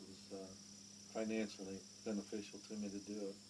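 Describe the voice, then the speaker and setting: Monotone and flat, a man speaks with an American accent at a fairly low pitch. His pace is moderate, with noticeable background noise. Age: 60s. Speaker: retired power plant worker. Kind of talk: interview. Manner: halting, many fillers.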